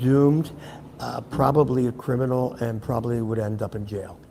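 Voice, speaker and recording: Noticeable background noise sits behind a man with an American accent. His intonation is fairly even. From US Northeast, Philadelphia. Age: 70s. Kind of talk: interview storytelling before audience.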